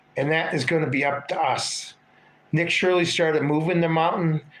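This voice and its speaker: The speaker is a man with a fairly high pitch. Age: 50s. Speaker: political livestream host. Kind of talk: casual livestream monologue with chat. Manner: animated.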